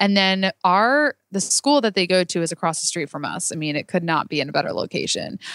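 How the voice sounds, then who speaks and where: An ordinary speaking voice from a woman, medium in pitch, with lively intonation, a fairly quick pace and a dry, close sound with no echo. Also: hardly any pauses. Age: 20s. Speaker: business owner. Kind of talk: casual chat. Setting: office.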